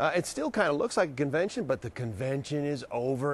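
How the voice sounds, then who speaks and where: A man talks at a fairly quick pace, and the sound is dry with no echo. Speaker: field reporter. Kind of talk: live news report. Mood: jokey, playful. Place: hall. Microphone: lapel.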